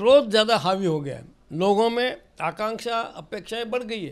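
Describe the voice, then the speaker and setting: Speaking at a fairly slow pace, a man uses a high pitch with ordinary pitch variation. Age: 70s. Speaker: senior politician. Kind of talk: interview. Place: home room. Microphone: handheld.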